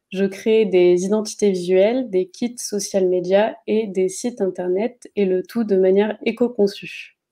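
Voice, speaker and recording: At a fairly slow pace, a woman with a dark, mellow tone speaks with fairly even intonation over a quiet background. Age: 20s. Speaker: graphic designer; guest. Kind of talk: interview. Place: home room. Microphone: video call.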